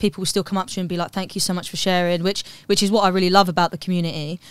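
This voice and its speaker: A woman speaks at a medium pitch with a British accent. The recording is very clean with a silent background and a dry, close sound with no echo. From London, England. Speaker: comedian. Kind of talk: casual chat. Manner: animated.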